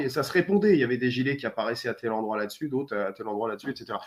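This man talks with very wide swings in pitch. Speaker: publisher. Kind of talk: casual chat.

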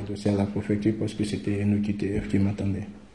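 A man speaks at a fairly low pitch. Room echo is audible. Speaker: young migrant. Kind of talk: testimony. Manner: halting.

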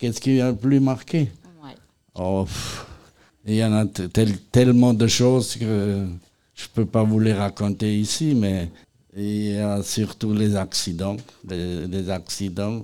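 Against a silent background on a very clean recording, a man with a fairly low pitch and a dark, mellow tone talks at a very slow pace with long, frequent pauses. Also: ordinary pitch variation. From Lorraine, eastern France. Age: 80s+. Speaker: retired firefighter. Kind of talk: interview. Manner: halting.

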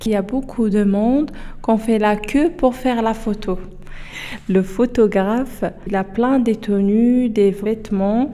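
Her intonation stays fairly even. The woman speaks very slowly at a fairly high pitch. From Morocco, Oujda. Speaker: French language learner. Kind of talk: personal testimony.

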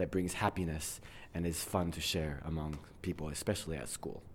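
This is a man speaking. His pace is fairly slow. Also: very clean recording, silent background. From abroad, outside the United States. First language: English (speaking French). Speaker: English teacher. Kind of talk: interview.

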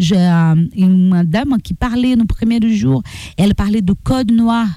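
Speaking at a very slow pace, a woman with a Portuguese accent uses lively intonation. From Brazil. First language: Portuguese (speaking French). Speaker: activist. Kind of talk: interview.

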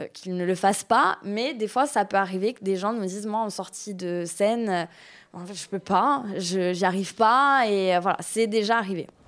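A woman with a medium pitch speaks at a moderate pace, showing ordinary pitch variation and big swings in loudness. The recording is very clean, with a silent background. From Corsica. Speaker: municipal cultural outreach manager. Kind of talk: interview. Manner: hesitant, many fillers.

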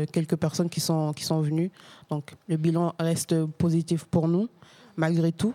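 On a very clean recording with a silent background, a woman speaks slowly-ish in a fairly low, dark, mellow voice with monotone, flat intonation. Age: 30s. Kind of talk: casual interview. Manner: halting.

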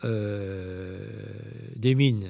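A man's dark, mellow voice with ordinary pitch variation, on a very clean recording with a silent background. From Brittany, Saint-Malo. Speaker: priest and war veteran. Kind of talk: testimony. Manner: halting.

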